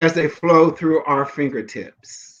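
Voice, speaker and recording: A man's fairly high-pitched voice. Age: 60s. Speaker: motivational speaker. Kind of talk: motivational talk. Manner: halting.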